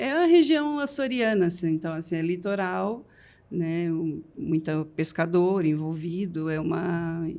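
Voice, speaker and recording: Her pitch is on the fairly low side for a woman. She speaks fairly slowly. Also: lively intonation. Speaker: pharmacy franchise owner. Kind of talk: podcast interview.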